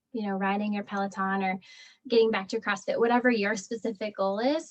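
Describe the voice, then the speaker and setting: A woman speaks with ordinary pitch variation. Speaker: pelvic floor physical therapist. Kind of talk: online talk with Q&A. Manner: fast; casual, filler-heavy.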